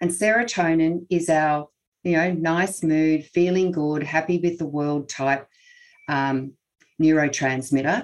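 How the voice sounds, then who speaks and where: A woman with an Australian accent speaks at a fairly slow pace in a very deep, low voice with fairly even intonation. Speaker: naturopath and health researcher. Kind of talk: expert interview.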